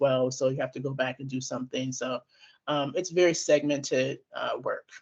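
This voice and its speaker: A woman speaking at a fairly quick pace. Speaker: classification specialist, presenter. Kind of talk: webinar presentation Q&A. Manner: fast.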